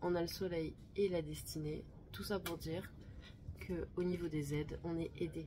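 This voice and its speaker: Speaking at a fairly slow pace, a woman keeps her pitch fairly low. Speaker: tarot card reader. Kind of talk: monthly tarot energy reading. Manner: calm, measured; slower than usual.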